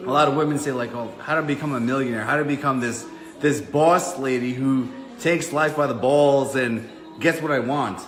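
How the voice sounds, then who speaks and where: Over music in the background and audible room echo, a man with a New York accent speaks at a moderate pace in an animated, fairly high voice with ordinary pitch variation. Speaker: online fitness business coach. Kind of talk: casual chat. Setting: livestream at home.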